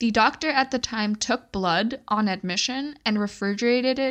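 A woman with an ordinary speaking voice talks at a moderate pace in a fairly high pitch, her pitch varying in an ordinary way over a quiet background. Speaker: true crime podcast host and storyteller. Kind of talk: casual storytelling. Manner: conversational, laughs often.

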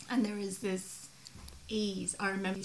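Speech comes at a moderate pace with monotone, flat intonation. There is noticeable background noise. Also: woman. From migrant to Australia. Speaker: podcast host. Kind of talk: casual chat. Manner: casual, swears freely.

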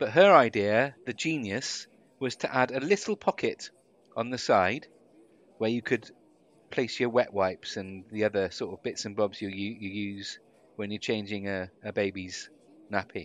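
A man with a British accent, fairly low pitch, moderate pace, and long, frequent pauses, over a quiet background. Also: ordinary pitch variation. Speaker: podcast co-host, former radio broadcaster. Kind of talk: casual chat.

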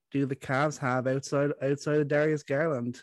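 The sound is dry and close with no echo as a man talks at a moderate pace and a fairly high pitch. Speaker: basketball podcast co-host. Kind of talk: casual sports chat. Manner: repeats words, animated.

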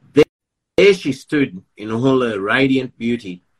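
A man's medium-pitched voice with an Australian accent, at a fairly slow pace with ordinary pitch variation, in a dry, close sound with no echo. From Melbourne, Australia. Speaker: poet and author.

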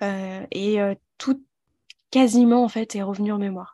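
An unremarkable speaking voice, fairly slow and fairly even in intonation, against a quiet background. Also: woman. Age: 20s. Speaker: holistic therapist and mentor. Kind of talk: personal testimony interview.

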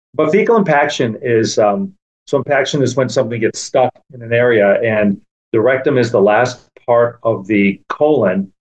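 An ordinary speaking voice from a man, medium in pitch, moderate in pace, with ordinary variation in pitch. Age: 50s. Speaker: proctologist. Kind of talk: casual interview.

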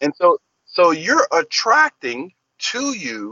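A man speaks with an American accent. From Texas, Corpus Christi. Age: 50s. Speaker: keynote speaker. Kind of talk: interview.

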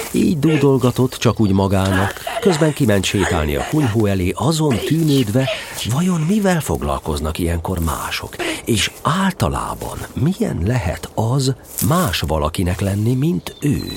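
A man's warm, playful tone at medium pitch, fairly slow pace and very wide pitch swings over noticeable background noise. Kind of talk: fairy-tale audiobook reading, narration with character lines. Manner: warm, storytelling narrator with a gently playful, animated tone.

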